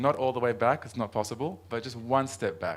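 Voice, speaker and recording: In a very clean recording with a silent background, a man with an American accent speaks at medium pitch. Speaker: transport planning official, invited speaker. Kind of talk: conference presentation. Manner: fast.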